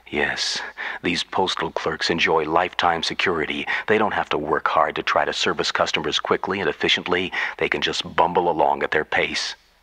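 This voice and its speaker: A man's voice, dry and close with no echo, over noticeable background noise. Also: fairly quick pace. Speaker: radio storyteller. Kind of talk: radio monologue.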